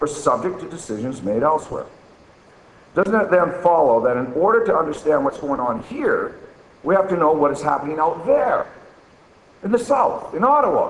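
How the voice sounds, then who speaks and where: A loud, high-pitched male voice at a moderate pace, with very wide pitch swings and long, frequent pauses, amid audible room echo and noticeable background noise. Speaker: archaeologist. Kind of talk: conference talk, reading an essay extract. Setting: conference with audience and microphone.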